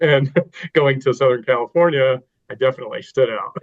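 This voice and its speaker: A man speaks with an American accent. His is an ordinary speaking voice. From Texas. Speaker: navy veteran, nonprofit director. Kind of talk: interview podcast.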